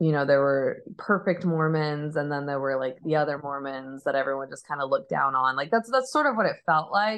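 At a moderate pace, a woman talks with hardly any pauses, her very deep, low pitch carried by lively intonation. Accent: American. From Arizona, US. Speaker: musician. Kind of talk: casual chat.

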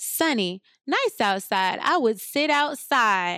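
With an unremarkable speaking voice and an American accent, someone talks at a fairly slow pace with lively intonation in a very clean recording with a silent background. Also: woman. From US Midwest, near Chicago. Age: 30s. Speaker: podcast host. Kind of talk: casual chat.

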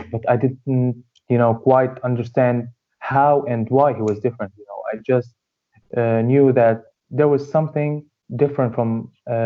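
A man with an Arabic accent, flat monotone intonation and big swings in loudness. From Syria, Hama region. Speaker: dentistry student. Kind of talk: interview. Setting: remote call.

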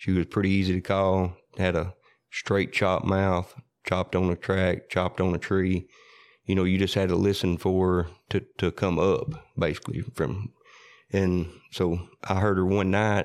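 A man with a West Tennessee accent speaks at a very deep, low pitch and a moderate pace. His intonation is monotone and flat, his loudness very even, against a quiet background. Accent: Southern US (West Tennessee). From US South, Parsons, Tennessee. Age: 40s. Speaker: coon hunter. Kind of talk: casual storytelling interview. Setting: in-person interview.

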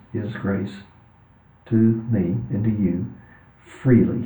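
Somewhat breathy, a man with a Texan accent speaks at a medium pitch, with audible echo in the room. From US, West Texas. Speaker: author and religion professor. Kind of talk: interview conversation.

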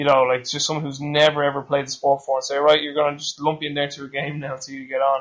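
A very fast pace with an Irish accent. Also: man. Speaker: podcast host, strength coach. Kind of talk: interview.

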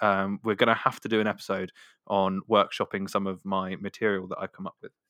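This man has a fairly low pitch and a Devon accent. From Devon, England. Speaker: podcast host, musician. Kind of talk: casual chat.

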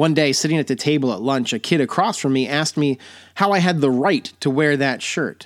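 A man's unremarkable speaking voice, fairly high in pitch, with an American accent at a moderate pace, in a very clean recording with a silent background. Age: 40s. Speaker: podcast host. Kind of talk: personal storytelling monologue; sponsor plug and sign-off.

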